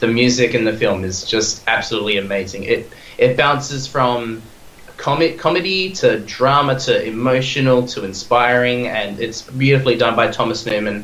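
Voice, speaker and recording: Through audible room echo and noticeable background noise, a man speaks at a medium pitch. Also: ordinary pitch variation, moderate pace. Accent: Australian. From Australia, Perth. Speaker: podcast guest, film fan. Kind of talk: casual chat. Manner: animated, halting with repeated words.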